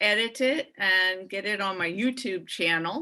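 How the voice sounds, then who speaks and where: Very slow in pace, a woman speaks at medium pitch with a bright, sharp tone and ordinary pitch variation. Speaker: college admissions consultant. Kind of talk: webinar wrap-up, casual chat. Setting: video call webinar.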